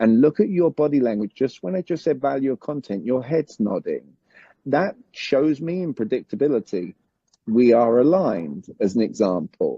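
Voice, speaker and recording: Speaking at a moderate pace in a British accent, the voice makes very wide pitch swings. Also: man, medium pitch for a man. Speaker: communication coach. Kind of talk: summit interview.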